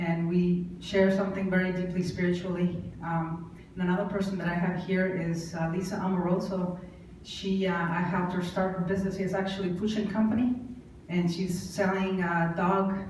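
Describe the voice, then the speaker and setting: A woman with a Mexican accent speaks at medium pitch in a monotone, flat intonation, with audible room echo and noticeable background noise. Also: moderate pace, very even loudness. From Mexico. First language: Spanish. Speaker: entrepreneur. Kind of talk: acceptance speech. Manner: halting.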